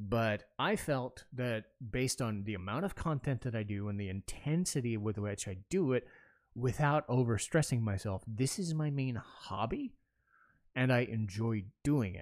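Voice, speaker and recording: The speaking voice is unremarkable, at a moderate pace with lively intonation. The recording is very clean, with a silent background. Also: man, medium pitch for a man. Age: 30s. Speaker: podcast host and gaming content creator. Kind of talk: solo casual monologue. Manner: casual, frequent fillers and restarts.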